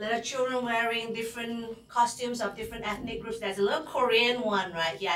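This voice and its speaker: Speaking fairly quickly at a medium pitch in a Fujianese accent, a woman is heard with noticeable background noise and audible room echo. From Singapore. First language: Hokkien. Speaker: psychology instructor. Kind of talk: lecture. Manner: hesitant, with fillers.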